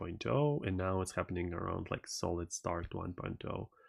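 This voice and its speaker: Speaking with a Russian accent, a man has a very deep, low pitch. His pace is moderate. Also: quiet background. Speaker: tech streamer. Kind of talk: live stream commentary. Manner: halting, many fillers.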